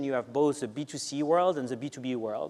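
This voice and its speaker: A man with a French accent, fairly high-pitched and at a fairly quick pace. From France. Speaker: marketing executive. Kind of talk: panel interview.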